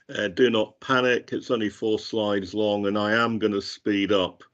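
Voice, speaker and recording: The delivery keeps to a moderate pace. It is an ordinary speaking voice. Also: man. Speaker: metadata standards expert. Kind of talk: webinar presentation.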